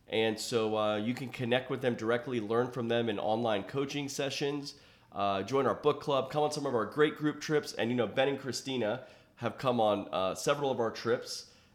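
His intonation fairly even, the man uses an ordinary speaking voice at a medium pitch and keeps a moderate pace. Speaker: podcast host. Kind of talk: interview conversation. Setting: in-person recording space.

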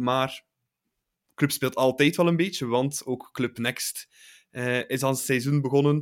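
A man speaks in a normal speaking voice at a moderate pace, his fairly high pitch carried by fairly even intonation on a very clean recording with a silent background. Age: 20s. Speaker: football podcast host. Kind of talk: casual chat.

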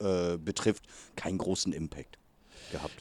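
The recording is very clean with a silent background, carrying a man's very deep, low pitch. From northern Germany (Lower Saxony, then Hamburg). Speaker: youth American football coach. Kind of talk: interview. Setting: outdoors at a training session.

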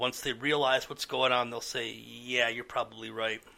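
This man has a bright, sharp tone and some vocal fry. He talks at a moderate pace. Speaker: podcast co-host. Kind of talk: casual banter, agreeing with rant.

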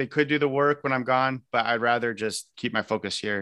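Speaking with a Midwestern American accent, a man uses a medium pitch and ordinary pitch variation. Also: very clean recording, silent background. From US Midwest, northern Indiana (Elkhart). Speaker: political candidate. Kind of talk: interview.

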